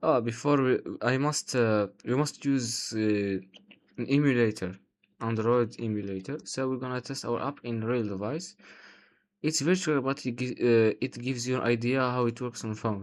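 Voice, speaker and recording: A man with a non-native accent speaks at a moderate pace in a medium pitch, his pitch varying in an ordinary way, on a very clean recording with a silent background. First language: not English. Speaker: software developer, coding tutorial creator. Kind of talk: tutorial. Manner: halting, many fillers.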